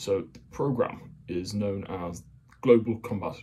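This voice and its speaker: A man speaks quietly over light background noise. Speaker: hobbyist explainer. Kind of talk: casual military explainer talk. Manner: monotonous; quiet, kept down. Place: home room. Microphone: phone near.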